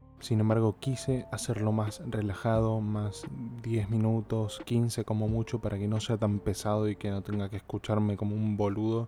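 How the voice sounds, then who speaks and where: Relaxed and dark, mellow in tone, a man with a fairly low pitch and a Rioplatense accent talks at a moderate pace in a monotone, flat intonation. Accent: Argentine Rioplatense Spanish. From Argentina. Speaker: podcast host. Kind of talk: casual monologue.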